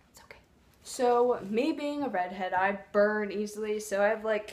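Light background noise sits behind a woman speaking with ordinary pitch variation. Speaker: vlogger. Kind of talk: casual vlog chat. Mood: playful, light. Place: home room. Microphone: phone near.

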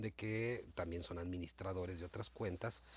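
In a dry recording with no echo, a man speaks with a very deep, low pitch and a somewhat breathy voice. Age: old. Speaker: YouTuber. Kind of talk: casual monologue to viewers. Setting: home recording late at night. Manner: hesitant, many fillers. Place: home room. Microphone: phone near.

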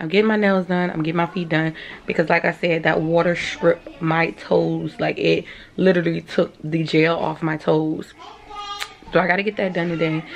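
Faint music plays in the background as a woman speaks with a fairly low pitch, fairly even intonation, and a moderate pace. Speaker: vlogger. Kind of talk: casual vlog chat. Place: home room. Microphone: phone near.

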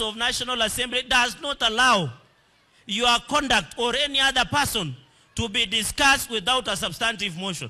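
Projecting a raised voice, a man speaks at a fairly slow pace with an extremely high pitch, a bright, sharp tone and ordinary pitch variation. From Kenya. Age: young. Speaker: politician. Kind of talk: political rally speech. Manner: animated. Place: hall. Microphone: handheld.

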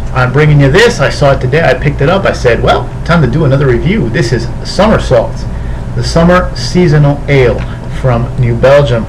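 A man talks at a fairly quick pace with very even loudness. Noticeable background noise runs underneath. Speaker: beer reviewer. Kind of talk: casual vlog chat. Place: home room. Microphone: webcam.

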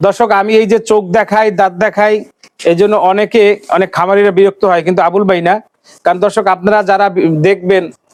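A man talks in a high pitch with monotone, flat intonation. His loudness stays very even. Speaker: livestock video blogger. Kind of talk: farm tour interview and sales showcase.

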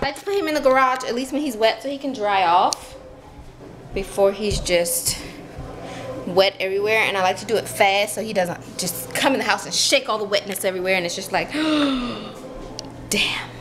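A woman at a moderate pace, with long, frequent pauses and faint music in the background. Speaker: home vlogger. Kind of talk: casual vlog chat. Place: home room. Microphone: phone near.

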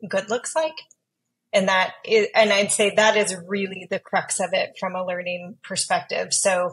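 A woman speaks at a fairly slow pace against a quiet background. Her intonation stays fairly even. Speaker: podcast guest. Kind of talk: interview answer. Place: home room. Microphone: earbuds.

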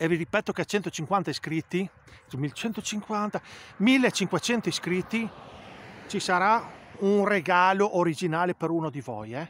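A loud man with a high pitch and lively intonation speaks at a very slow pace, with long, frequent pauses. The sound is dry with no echo, and there is light background noise. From Italy. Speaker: football fan vlogger. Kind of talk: angry rant about the coach, heated opinion monologue to camera. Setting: home video to camera. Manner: loud, indignant, hammering the same words. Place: open country. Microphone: phone near.

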